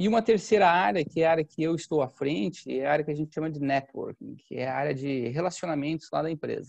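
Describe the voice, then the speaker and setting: Very fast, lively speech with hardly any pauses and a dry, close sound with no echo. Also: man, fairly high pitch for a man. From Santa Catarina, southern Brazil (Campos Novos). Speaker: agricultural market consultant. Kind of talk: podcast interview.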